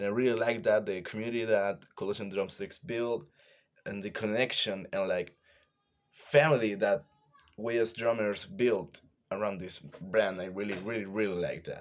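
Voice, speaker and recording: The speech comes in a Chilean accent. It moves at a moderate pace with ordinary pitch variation. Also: man, fairly low pitch for a man. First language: Spanish. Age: 20s. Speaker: drummer. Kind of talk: casual talk to camera. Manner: halting.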